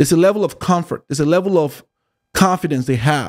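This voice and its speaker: In a Nigerian accent, a man speaks with a dark, mellow tone and ordinary pitch variation, in a dry, close sound with no echo. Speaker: YouTube commentator. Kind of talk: monologue commentary. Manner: halting.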